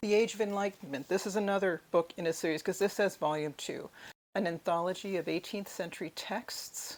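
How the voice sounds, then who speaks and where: With an American accent, a woman speaks in an ordinary speaking voice at medium pitch, ordinary pitch variation and moderate pace, on a very clean recording with a silent background. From United States. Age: 60s. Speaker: book vlogger. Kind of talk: book haul video. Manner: casual with fillers.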